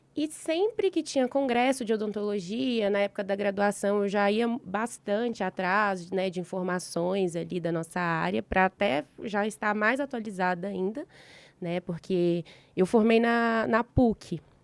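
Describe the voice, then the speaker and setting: A woman's ordinary speaking voice at a medium pitch and fairly slow pace, with ordinary pitch variation, on a very clean recording with a silent background. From Brazil, Minas Gerais (Belo Horizonte). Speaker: dentist, endodontist. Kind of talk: casual interview chat.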